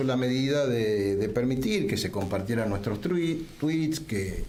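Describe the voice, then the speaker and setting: With a Rioplatense accent and lively intonation, a man speaks at a medium pitch against noticeable background noise and audible room echo. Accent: Argentine Rioplatense Spanish. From Argentina. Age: 60s. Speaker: political leader. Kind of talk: political talk show editorial.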